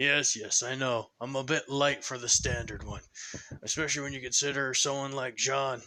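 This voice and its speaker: In a put-on character voice, a man sounds raspy and talks at a moderate pace with a monotone, flat intonation. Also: medium pitch for a man. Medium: solo performance. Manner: casual, dry, joking.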